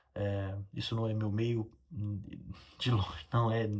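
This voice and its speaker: A somewhat breathy man in a very clean recording with a silent background. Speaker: railway engineer and video creator. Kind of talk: casual educational talk to camera. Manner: fast; halting, many fillers.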